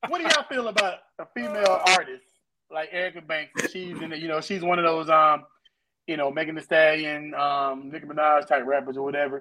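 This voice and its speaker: Fairly quick speech from a man, fairly high-pitched, bright and sharp in tone, with big swings in loudness. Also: ordinary pitch variation. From Florida, Pensacola. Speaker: podcast co-host, music producer and youth football coach. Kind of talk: casual chat.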